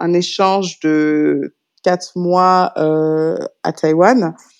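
The speaker is a woman. Her intonation is fairly even throughout. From France, Paris. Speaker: startup incubator program manager. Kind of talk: interview. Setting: remote recording.

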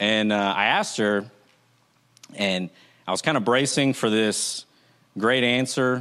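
At a fairly slow pace, a man speaks with a bright, sharp tone, medium pitch, ordinary pitch variation and very even loudness. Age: 30s. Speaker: church elder preaching. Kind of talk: sermon. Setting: church service, filmed. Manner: halting, many fillers.

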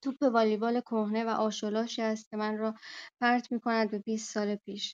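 A woman speaks at a moderate pace and fairly high pitch, in a monotone, flat intonation. The sound is dry and close with no echo over a quiet background. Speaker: workshop participant. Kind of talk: reading aloud own fiction. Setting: online audio room.

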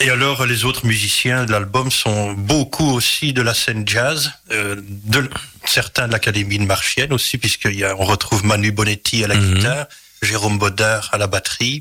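A man's fairly low voice at a moderate pace, with very even loudness, fairly even intonation and noticeable background noise. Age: 40s. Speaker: singer-songwriter. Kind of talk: interview. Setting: radio studio.

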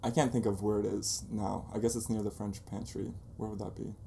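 A fairly low-pitched man with fairly even intonation and audible room echo. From Bosnia, then Denmark and Germany; raised in Jacksonville, Florida from age nine. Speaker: photographer and blog founder. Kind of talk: interview. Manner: casual.

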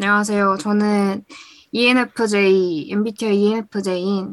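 This woman's medium-pitched voice goes at a very slow pace. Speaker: listener guest, university student. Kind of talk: casual chat. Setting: remote call. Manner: animated.

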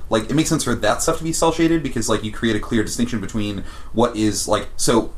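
Noticeable background noise sits behind a man speaking at a very fast pace. His intonation is lively. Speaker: podcast co-host. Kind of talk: casual banter.

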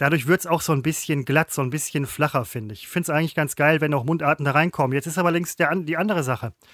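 Speaking at a very fast pace with hardly any pauses, a man with a fairly high pitch uses ordinary pitch variation. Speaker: podcast co-host, former TV presenter. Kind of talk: casual chat. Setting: remote call.

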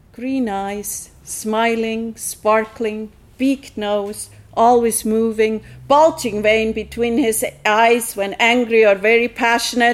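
In a Swiss German accent, the speaker goes at a fairly slow pace with monotone, flat intonation. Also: woman. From Switzerland. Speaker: meditation teacher, storyteller. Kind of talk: personal story performance.

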